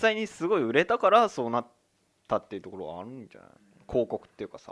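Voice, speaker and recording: A man against a quiet background. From Tokyo, Higashimurayama. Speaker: podcast co-host. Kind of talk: casual chat.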